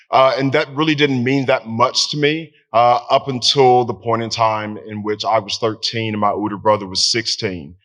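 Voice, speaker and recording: A man in a Southern US accent, medium in pitch, with hardly any pauses. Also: ordinary pitch variation, moderate pace. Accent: Southern American. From Tennessee. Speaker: veteran. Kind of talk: storytelling. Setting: stage with audience.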